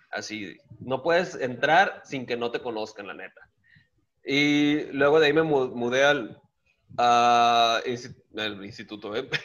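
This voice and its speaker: A man speaks at a very slow pace and medium pitch, with ordinary pitch variation and big swings in loudness. The recording is very clean, with a silent background. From Guaymas, Sonora, Mexico. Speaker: stand-up comedian. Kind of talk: casual chat.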